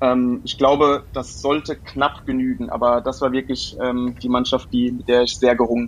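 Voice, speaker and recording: A man talking with hardly any pauses over noticeable background noise. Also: moderate pace. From Germany, born in London. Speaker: football writer. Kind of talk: casual chat. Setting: remote call. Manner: halting, many fillers.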